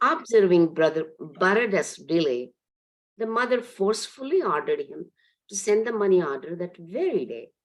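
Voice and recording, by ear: A woman at a moderate pace, her pitch swinging widely. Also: fairly low pitch for a woman.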